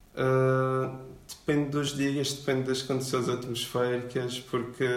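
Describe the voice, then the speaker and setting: A man's flat, monotone voice at a medium pitch and fairly slow pace, with audible room echo and noticeable background noise. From Portugal, Madeira. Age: 20s. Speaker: luthier. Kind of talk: interview. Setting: workshop. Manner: halting.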